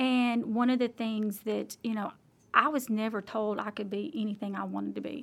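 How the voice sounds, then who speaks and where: Woman with an Alabama accent, fairly high pitch, fairly even intonation. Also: moderate pace. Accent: Southern US (Alabama). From US South, Alabama. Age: 40s. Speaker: local politician. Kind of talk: interview.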